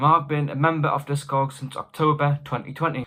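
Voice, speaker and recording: With a British accent and a bright, sharp tone, this man speaks at a moderate pace in a fairly high pitch. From United Kingdom. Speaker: record collector YouTuber. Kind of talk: casual vlog advice.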